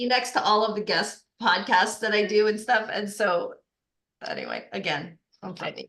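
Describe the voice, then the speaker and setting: Here a woman speaks in a Boston accent at a moderate pace. Her voice is fairly high, with ordinary pitch variation. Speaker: life coach. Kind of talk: casual chat. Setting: podcast.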